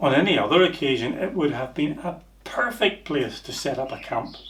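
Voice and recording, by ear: With audible room echo, a man talks at a fairly high pitch, his tone fairly bright and his intonation lively. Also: moderate pace.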